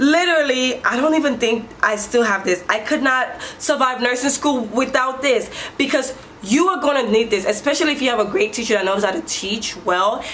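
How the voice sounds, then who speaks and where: A woman's high-pitched voice with lively intonation at a moderate pace, amid audible room echo and noticeable background noise. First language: not English. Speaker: nurse and motivational vlogger. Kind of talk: casual vlog advice. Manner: halting, many restarts.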